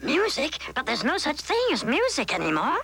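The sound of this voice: In a cartoonish character voice, someone speaks fairly quickly at a high pitch.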